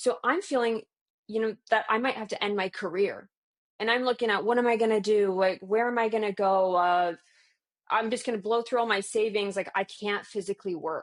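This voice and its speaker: In an ordinary speaking voice with a Canadian accent, a woman talks at a fairly quick pace with fairly high pitch and fairly even intonation against a quiet background. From Canada, southwestern Ontario. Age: 30s. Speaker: alternative healthcare practitioner. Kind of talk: personal testimony. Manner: casual, with fillers and restarts.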